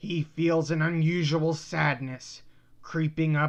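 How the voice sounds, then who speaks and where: The speech is at a middle pitch and a fairly slow pace. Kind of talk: mock-epic comic narration. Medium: read story. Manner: theatrical, deadpan, crude.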